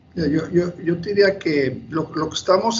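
A man is talking here. Ordinary pitch variation runs through his speech. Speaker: bank executive. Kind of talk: interview. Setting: video call.

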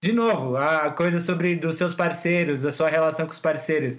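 A man with an ordinary speaking voice talks at a moderate pace. His pitch is fairly high. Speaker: podcast host and songwriter. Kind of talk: casual chat.

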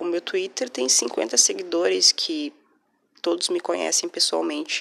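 Soft-spoken delivery comes at a fairly slow pace. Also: woman. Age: 20s. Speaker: podcaster. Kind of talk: personal monologue.

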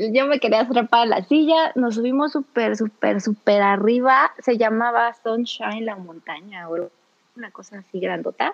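This woman has a plain, everyday voice, fairly high in pitch. Her intonation is lively. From Mexico, Celaya, Guanajuato. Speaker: radio host. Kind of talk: casual chat.

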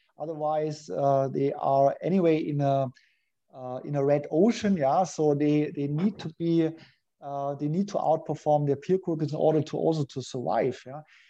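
A man with a German accent speaks at a moderate pace in a fairly high pitch with a dark, mellow tone. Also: fairly even intonation. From Germany, Munich. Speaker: business coach. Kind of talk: interview.

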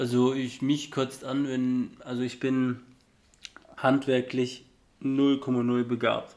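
Speaking very slowly with long, frequent pauses, a man holds a flat, monotone delivery at a medium pitch. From southern Germany (Ulm, Swabia). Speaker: podcast co-host. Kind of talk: casual chat.

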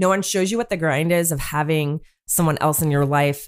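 In a very clean recording with a silent background, a woman with an American accent speaks at a fairly quick pace in a very deep, low pitch. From US West Coast (Northern California). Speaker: educator and single mom, podcast guest. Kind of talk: casual chat.

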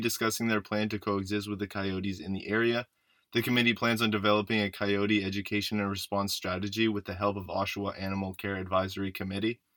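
Talking very fast with hardly any pauses, a man keeps a fairly low pitch and a monotone, flat intonation. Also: very clean recording, silent background. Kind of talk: radio newsreading. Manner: polished, measured, formal anchor delivery.

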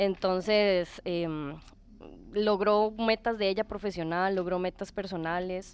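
Very slow, fairly even speech from a woman at medium pitch, on a very clean recording with a silent background. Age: 30s. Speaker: tattoo client. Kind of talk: casual chat.

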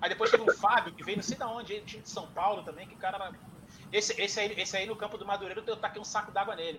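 A man's raised, projected voice at a high pitch, very fast pace and fairly even intonation, with big swings in loudness over noticeable background noise. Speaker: football fan guest. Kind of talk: casual chat.

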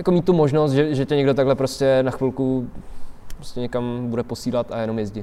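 A man's unremarkable speaking voice at medium pitch, a fairly quick pace and fairly even intonation. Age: 20s. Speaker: skateboarder. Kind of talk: casual interview chat. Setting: outdoors under a bridge in winter.

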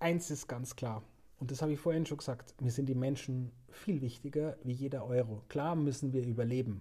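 Somewhat breathy, with a dark, mellow tone, a man speaks at a medium pitch and moderate pace with fairly even intonation. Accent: Bavarian. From Upper Bavaria (Murnau/Seehausen). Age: 40s. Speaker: hotel director. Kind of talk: casual interview.

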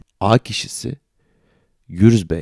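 A man's dark, mellow tone with ordinary pitch variation comes through in a dry, close sound with no echo. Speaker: podcast host. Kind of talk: satirical monologue. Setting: hotel room.

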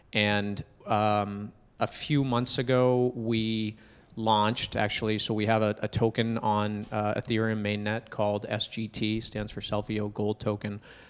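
A man with an American accent speaks at a fairly slow pace in a fairly low, monotone, flat voice, on a very clean recording with a silent background. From New Hampshire, US. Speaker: startup founder. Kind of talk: casual interview.

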